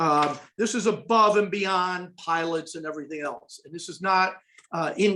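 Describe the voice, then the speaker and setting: A man's bright, sharp tone with ordinary pitch variation. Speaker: foundation executive presenting a report. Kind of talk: webinar presentation. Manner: fast.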